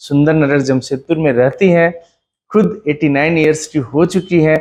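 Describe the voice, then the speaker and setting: Here is a man with an ordinary speaking voice. His pitch is fairly high. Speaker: interviewer. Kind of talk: video introduction to camera.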